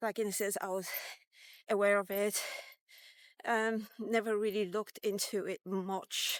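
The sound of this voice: A woman at medium pitch speaks at a fairly slow pace with little pitch movement.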